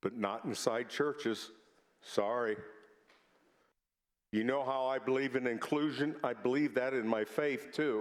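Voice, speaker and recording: Long, frequent pauses break up the fairly slow pace of this speaker with a Midwestern US accent and ordinary pitch variation. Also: man, medium pitch for a man. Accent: US Midwest. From Indiana, Lafayette. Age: 60s. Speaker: state senator. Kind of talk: legislative floor speech. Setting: senate chamber.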